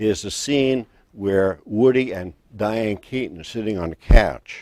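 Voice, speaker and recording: At a fairly slow pace, a man with an unremarkable speaking voice and fairly low pitch uses ordinary pitch variation while his loudness swings widely. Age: 60s. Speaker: self-help vlogger. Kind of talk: personal testimony. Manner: casual.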